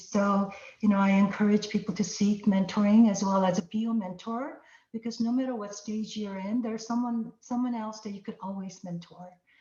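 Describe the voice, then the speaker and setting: Somewhat breathy, a woman speaks at a medium pitch and a moderate pace with fairly even intonation. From immigrant to the US at fourteen. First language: not English. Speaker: tech executive. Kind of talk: panel conversation.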